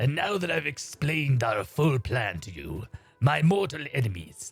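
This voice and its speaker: Doing a put-on character voice, a man swings his medium pitch very widely as faint music plays in the background. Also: moderate pace. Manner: menacing, dramatic, pompous.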